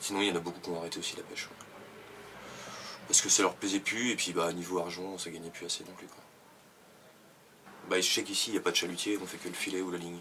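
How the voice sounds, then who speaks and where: With a very deep, low pitch and monotone, flat intonation, a man speaks very fast, his loudness swinging widely between long, frequent pauses. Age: 20s. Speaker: fisherman. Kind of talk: interview. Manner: hesitant, many fillers.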